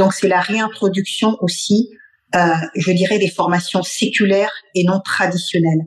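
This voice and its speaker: A woman's somewhat breathy, monotone voice with flat intonation, very even loudness and long, frequent pauses. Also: medium pitch for a woman. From Mali. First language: Bambara (speaking French). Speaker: cultural heritage expert. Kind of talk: radio interview.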